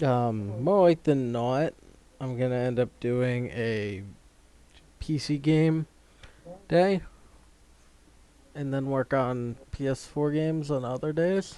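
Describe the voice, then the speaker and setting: A man's mumbling at a very slow pace, medium pitch and dark, mellow tone, with ordinary pitch variation and long, frequent pauses. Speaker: gaming streamer. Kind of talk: live gameplay commentary. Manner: mumbling to himself; casual, halting.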